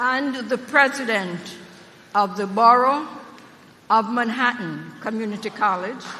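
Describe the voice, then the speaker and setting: The speaker has an American accent and a fairly slow pace. Long, frequent pauses break up the speech, and background noise is noticeable. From Jamaica. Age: old. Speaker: university trustee, former politician. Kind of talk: commencement speech. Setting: stage with audience. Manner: animated.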